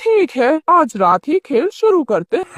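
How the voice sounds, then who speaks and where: In a cartoonish character voice, the speaker goes high in pitch with very wide pitch swings at a moderate pace. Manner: sly, sardonic.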